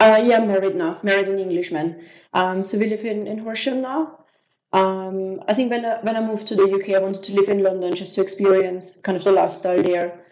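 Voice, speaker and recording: Music plays behind a woman speaking at a fairly quick pace in an Austrian accent. Her medium pitch has fairly even intonation. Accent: Austrian German accent, often heard as French. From Austria, Vienna. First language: German. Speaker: business systems manager. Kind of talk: interview. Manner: hesitant, many fillers.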